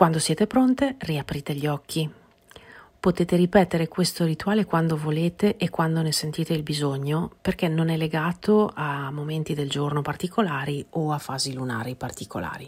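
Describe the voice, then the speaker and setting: A woman with a very deep, low pitch, somewhat breathy, at a moderate pace with ordinary pitch variation. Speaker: podcast host, personal growth coach. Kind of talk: podcast monologue; guided meditation.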